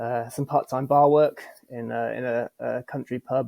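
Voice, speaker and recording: In an English accent, a man speaks with a dark, mellow tone and monotone, flat intonation at a moderate pace, the sound dry and close with no echo. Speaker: apparel business co-founder. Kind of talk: casual chat. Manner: halting, many fillers.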